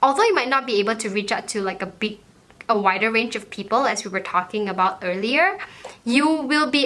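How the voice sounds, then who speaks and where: A woman's fairly high-pitched, confident voice at a fairly quick pace, with lively intonation over noticeable background noise. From Malaysia. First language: Malaysian mix of Chinese, Malay and Hokkien, English not first. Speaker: YouTuber. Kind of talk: vlog advice talk. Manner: fluent and confident.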